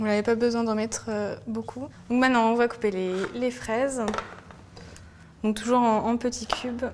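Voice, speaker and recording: A woman with a fairly high pitch speaks at a moderate pace in a flat monotone, leaving long, frequent pauses over noticeable background noise. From France, Lyon. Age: 20s. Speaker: food blogger. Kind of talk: cooking tutorial. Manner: hesitant, frequent fillers and repetitions.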